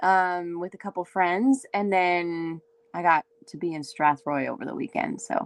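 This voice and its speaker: In an Ontario accent, a woman speaks in a fairly low voice whose loudness swings widely. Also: ordinary pitch variation, fairly slow pace. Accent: Canadian (Ontario). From Canada, Windsor, Ontario. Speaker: singer-songwriter. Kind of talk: casual chat.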